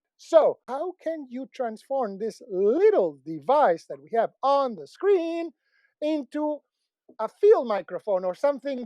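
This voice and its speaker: A man speaks at an extremely high pitch with very wide pitch swings and a dark, mellow tone. His pace is fairly slow, and the sound is dry and close with no echo. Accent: Spanish. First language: Spanish. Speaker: tech product reviewer. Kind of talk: product review.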